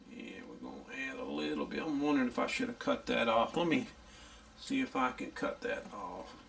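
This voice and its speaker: Over noticeable background noise, a man with a Louisiana accent speaks at a moderate pace. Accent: country Louisiana. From US South, northeast Louisiana. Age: 60s. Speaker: radio repair hobbyist. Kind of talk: tutorial; casual chat. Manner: casual.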